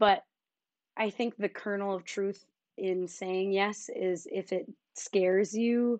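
A woman's normal speaking voice, medium in pitch, with an American accent and fairly even intonation. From Philadelphia suburbs, Pennsylvania. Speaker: filmmaker and dancer. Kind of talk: casual interview.

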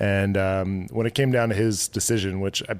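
Fairly low in pitch, a man with a Canadian accent keeps a moderate pace and fairly even intonation. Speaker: brewery owner. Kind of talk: casual chat. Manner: soft-spoken.

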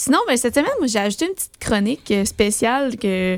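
A woman speaks in a Quebec accent at a fairly quick pace. Her high voice has lively intonation. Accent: Québécois French. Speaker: board game radio co-host. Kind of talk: casual radio chat.

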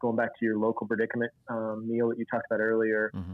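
In an Oklahoma accent, a man talks at a very fast pace. His pitch is medium. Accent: Oklahoma Southern US. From US South, northeast Oklahoma. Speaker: church planter trainer. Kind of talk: casual interview.

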